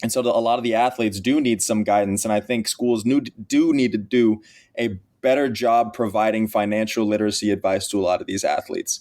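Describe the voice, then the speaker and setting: A man with an American accent and an ordinary speaking voice, medium pitch, fairly even intonation, and a fairly quick pace. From Texas. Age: 20s. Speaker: college athlete and NIL advocate. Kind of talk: podcast interview.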